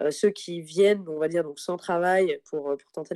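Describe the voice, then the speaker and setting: A woman's fairly low voice with fairly even intonation, dry and close with no echo. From France, Paris region and Tarbes. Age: 30s. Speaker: expatriate guest. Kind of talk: interview. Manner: hesitant with many fillers and repetitions.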